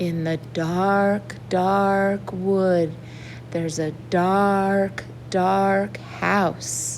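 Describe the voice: A woman uses a put-on character voice at a very slow pace. Clear background noise sits behind her.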